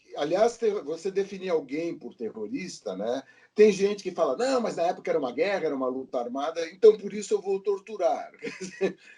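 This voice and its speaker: Lively intonation at a fairly quick pace, hardly any pauses and noticeable background noise. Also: man, high pitch for a man. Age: 60s. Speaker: podcast guest, comics enthusiast. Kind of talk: casual chat.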